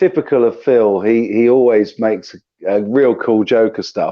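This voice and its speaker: A man with a southern English accent at a fairly slow pace. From southern England. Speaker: guitar YouTuber and sound engineer. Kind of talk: live stream chat.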